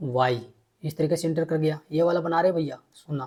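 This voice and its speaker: In a dark, mellow tone, a man talks at a moderate pace. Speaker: teacher. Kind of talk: tutorial; casual outro to viewers.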